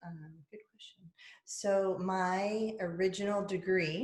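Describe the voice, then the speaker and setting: A woman with an American accent speaks at a medium pitch. Her pace is very slow and her voice is somewhat breathy. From US South. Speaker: podcast host and public speaker. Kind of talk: casual chat.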